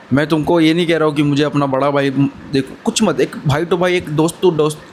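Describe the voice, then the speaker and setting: Noticeable background noise sits under a man speaking at a fairly high pitch and moderate pace, with ordinary pitch variation. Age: 20s. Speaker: motivational vlogger. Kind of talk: motivational talk to camera. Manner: casual, brotherly.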